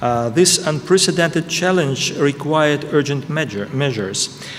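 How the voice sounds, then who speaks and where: A man's voice in a Russian accent, moderate pace and ordinary pitch variation, over noticeable background noise. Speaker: ambassador. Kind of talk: prepared speech. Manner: halting.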